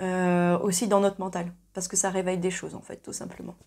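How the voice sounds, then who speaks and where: In a quiet background, a woman talks at a moderate pace. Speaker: singing teacher. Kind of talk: tutorial. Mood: calm, thoughtful. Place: home room. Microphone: lapel.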